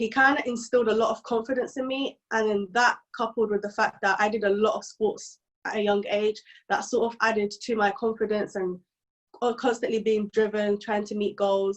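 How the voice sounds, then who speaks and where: A woman with a London accent, fairly high-pitched, flat and monotone in intonation, at a moderate pace. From East London, England. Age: 20s. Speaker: software engineer and content creator. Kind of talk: podcast interview.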